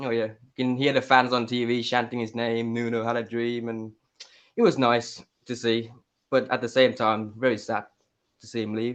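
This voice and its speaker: Long, frequent pauses break up a man's monotone, flat delivery, which carries a slight West Midlands accent. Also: medium pitch for a man, moderate pace. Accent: slight Wolverhampton. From Thailand, Bangkok; Thai mother, father from Wolverhampton. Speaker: caller. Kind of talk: phone-in chat. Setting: call into a live show, at night.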